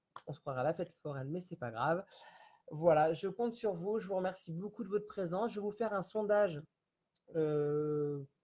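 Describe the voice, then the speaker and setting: This man's voice sits high in pitch and has a dark, mellow tone. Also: ordinary pitch variation, moderate pace. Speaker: home sales consultant for candles. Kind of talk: live-stream sales pitch. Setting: Facebook live video from home. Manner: halting, stammering.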